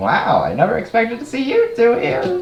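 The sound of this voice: A man uses a put-on character voice at an extremely high pitch. He keeps a moderate pace over clear background noise.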